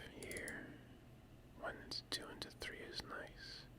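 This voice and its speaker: Someone is whispering. The pace is very slow. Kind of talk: whispered ASMR gaming commentary. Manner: whispered.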